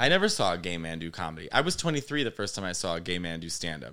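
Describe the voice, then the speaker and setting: Bright and sharp in tone, a man speaks at a fairly quick pace with very wide pitch swings. The recording is very clean, and the background is silent. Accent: Chicago-area. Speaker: comedian. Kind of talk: casual chat. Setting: studio. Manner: animated.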